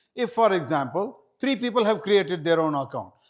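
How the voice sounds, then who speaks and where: A man with lively intonation on a very clean recording with a silent background. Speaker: hajj guide and seminar presenter. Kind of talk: seminar presentation. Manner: fast.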